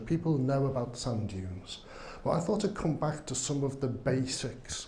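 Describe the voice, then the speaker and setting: This man has a Liverpool accent and a dark, mellow tone at a medium pitch. He sounds somewhat breathy, with audible room echo. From northern England, Liverpool. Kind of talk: conference talk. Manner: slow, deliberate; hesitant, many fillers.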